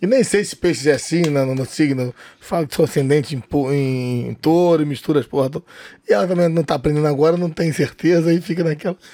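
A man's dark, mellow voice, fairly high in pitch, with ordinary pitch variation. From Rio de Janeiro, Brazil (northeastern family). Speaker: comedian and club owner. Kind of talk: casual interview chat. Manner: halting, repeats words.

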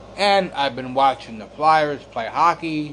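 At a very slow pace, a man speaks with a fairly high pitch and ordinary pitch variation. Noticeable background noise can be heard. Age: 50s. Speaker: podcaster and Facebook group founder. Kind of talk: casual monologue podcast. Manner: halting.

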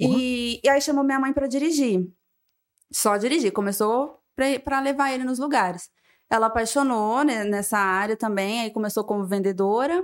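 The speech moves at a moderate pace. It is an unremarkable speaking voice. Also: woman, fairly high pitch for a woman, ordinary pitch variation. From São José do Rio Preto, São Paulo state. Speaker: business co-founder. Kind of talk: casual interview chat.

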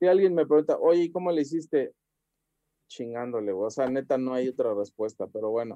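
With a Mexican accent, a man talks at a fairly quick pace using lively intonation. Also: medium pitch for a man. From Mexico, Xalapa (Veracruz). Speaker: convention organizer and comic store owner. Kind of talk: podcast interview.

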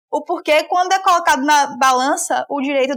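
Her pitch is high, with ordinary variation. This woman speaks at a moderate pace. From Salvador, Bahia, Brazil. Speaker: law graduate and researcher. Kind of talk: interview. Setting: remote call.

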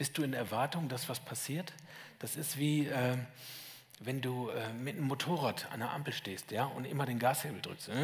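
Noticeable background noise runs through the clip. The talking goes at a moderate pace. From Lower Saxony, northern Germany. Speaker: guest preacher. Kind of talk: sermon. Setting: church service with headset microphone. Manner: animated.

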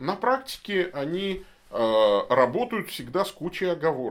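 In a very clean recording with a silent background, a man with a fairly high pitch speaks at a very slow pace, his pitch swinging very widely. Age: 40s. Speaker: bishop answering viewer questions. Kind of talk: live Q&A stream. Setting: studio.

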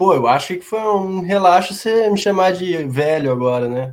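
A man's voice with lively intonation. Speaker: show commentator. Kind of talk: casual chat.

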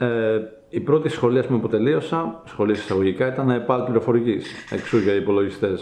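Noticeable background noise and audible room echo around a medium-pitched male voice. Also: ordinary pitch variation, moderate pace. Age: 20s. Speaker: YouTuber and trial bike rider. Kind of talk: casual interview.

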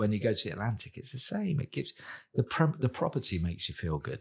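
A man with a southern English accent talks at a very fast pace, his pitch swinging very widely through vocal fry. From southern England, Portsmouth. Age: 40s. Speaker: chef. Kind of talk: casual interview chat.

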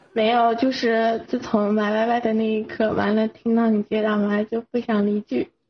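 A woman talks in a plain, everyday voice at a fairly high pitch and a moderate pace. Her intonation is fairly even, her loudness very even, and she hardly pauses. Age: 20s. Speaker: listener caller. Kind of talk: casual chat.

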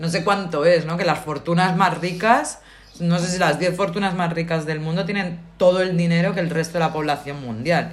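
A woman's fairly low voice in fairly even intonation, with audible room echo. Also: moderate pace. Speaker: podcast co-host. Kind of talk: casual chat.

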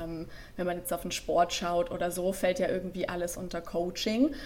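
Noticeable background noise accompanies a woman's voice. She talks at a medium pitch and a moderate pace. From Franconia, Germany (Nuremberg). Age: 20s. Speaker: life and stress coach. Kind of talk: podcast interview.

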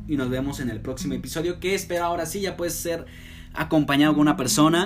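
Audible room echo surrounds a man speaking at a fairly quick pace and fairly high pitch, with ordinary pitch variation. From Mexico, Aguascalientes. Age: 20s. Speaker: university student podcaster. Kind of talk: personal monologue. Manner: slurs some words; hesitant, many fillers.

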